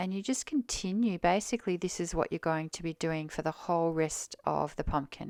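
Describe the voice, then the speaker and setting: In a dry, close recording that is very clean with a silent background, a woman with a normal speaking voice talks at a moderate pace, fairly low in pitch with ordinary pitch variation. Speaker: crochet designer and teacher. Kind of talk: tutorial.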